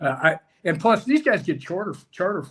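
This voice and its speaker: Somewhat breathy, a man talks in an American accent. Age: 60s. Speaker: former pro soccer player and college coach. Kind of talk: casual chat. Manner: halting.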